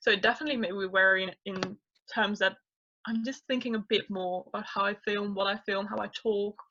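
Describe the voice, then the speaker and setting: Speaking with a non-native accent, a woman keeps a moderate pace, a medium pitch and fairly even intonation. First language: not English. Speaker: YouTuber, guest. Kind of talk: casual interview chat.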